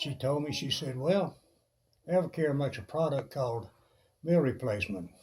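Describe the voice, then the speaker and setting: Pausing long and often, a man speaks at a moderate pace in a fairly high, somewhat breathy voice with lively intonation. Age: 70s. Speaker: fitness enthusiast vlogger. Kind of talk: personal testimony while planking.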